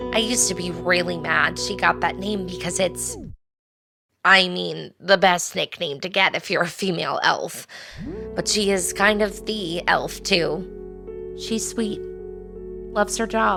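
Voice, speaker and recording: A female-sounding, raspy put-on character voice moves at a moderate pace with long, frequent pauses. Faint music plays in the background. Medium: audio drama. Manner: earnest, searching.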